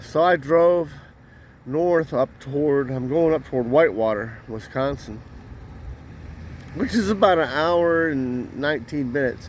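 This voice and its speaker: Noticeable background noise sits behind a voice moving at a fairly slow pace with ordinary pitch variation. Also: man. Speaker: truck driver. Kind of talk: casual talk to camera.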